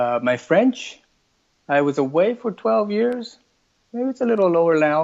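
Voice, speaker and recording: Here a man with an American accent speaks at a high pitch with very wide pitch swings. His pace is fairly slow, with long, frequent pauses. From multilingual upbringing: Hong Kong, Taiwan, Quebec. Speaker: parent and multilingual interviewee. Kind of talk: interview. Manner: hesitant, many fillers and repeated words.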